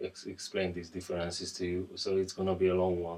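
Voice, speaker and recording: At a fairly quick pace, a man speaks in a very deep, low pitch with monotone, flat intonation. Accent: non-native. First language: not English. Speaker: guitar reviewer. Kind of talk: product review. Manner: halting, repeats words; casual.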